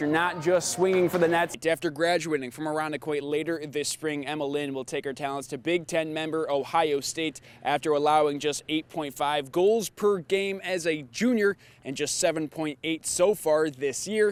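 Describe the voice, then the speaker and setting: A man with an unremarkable speaking voice talks at a moderate pace with a fairly high pitch. His pitch variation is ordinary and he leaves hardly any pauses. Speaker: sports anchor and reporter. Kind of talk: TV sports news report.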